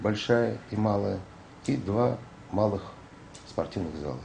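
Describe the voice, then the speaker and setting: A man's very deep, low voice with very wide pitch swings, very slow pace, and light background noise. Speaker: organization manager interviewee. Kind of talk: interview comment. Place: office.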